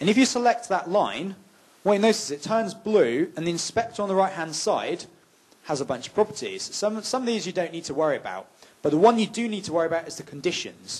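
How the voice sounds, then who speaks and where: Speaking at a very fast pace, a man with a high pitch uses lively intonation. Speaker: game development instructor. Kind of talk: workshop tutorial.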